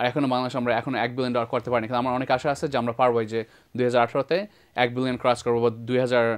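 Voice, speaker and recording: A man's medium-pitched voice is heard against a quiet background. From Bangladesh, moved to the USA at age nine. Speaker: IT entrepreneur; talk show guest. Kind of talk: TV interview. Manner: halting, many fillers. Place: studio.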